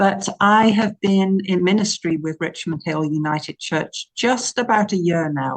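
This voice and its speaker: A woman's fairly low voice at a fairly slow pace, with ordinary pitch variation. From England. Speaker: minister. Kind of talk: interview.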